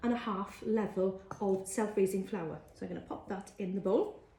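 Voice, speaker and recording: This voice in a Welsh accent comes through noticeable background noise. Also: woman. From Wales. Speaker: cookery teacher. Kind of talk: cooking tutorial. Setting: live social media video. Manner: casual, frequent fillers.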